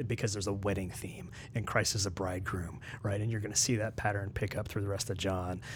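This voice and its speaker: Audible room echo surrounds a very fast delivery with an American accent and fairly even intonation. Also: man, fairly low pitch for a man. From West Virginia. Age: 40s. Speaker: ethics and theology researcher. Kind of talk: casual interview. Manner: hesitant, many fillers.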